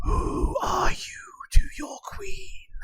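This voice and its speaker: A growling, put-on character voice from a man at an extremely high pitch. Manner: eerie, commanding.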